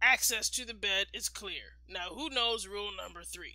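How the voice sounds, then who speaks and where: A put-on character voice, fairly high in pitch, moves along at a moderate pace. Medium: read story. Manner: formal, instructive.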